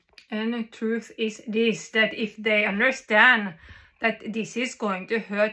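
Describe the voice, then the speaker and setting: A woman with a Norwegian accent, fairly slow, flat and monotone, bright and sharp in tone. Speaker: vlogger. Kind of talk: monologue to camera. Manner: halting. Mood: agitated, intense. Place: home room. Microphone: phone near.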